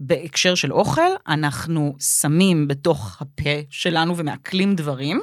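A woman with a very deep, low voice speaks at a fairly slow pace with ordinary pitch variation. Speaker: podcast co-host, comedian. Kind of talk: casual chat.

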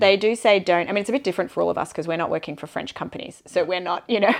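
Against a quiet background, a woman talks in an Australian accent. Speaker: bike tour manager, guest. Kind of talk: casual interview chat.

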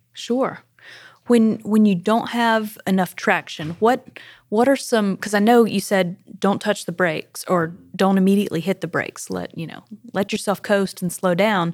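A woman with a Southern US accent speaks at a medium pitch and moderate pace on a very clean recording with a silent background. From South Carolina. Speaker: company podcast host. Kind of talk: casual chat. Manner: animated.

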